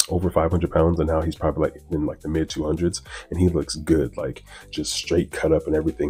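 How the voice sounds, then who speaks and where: A man with a very deep, low pitch and a dark, mellow tone speaks at a very fast pace. His voice is somewhat breathy. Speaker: vlogger on weight loss journey. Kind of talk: weekly video check-in vlog. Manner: casual, filler-heavy.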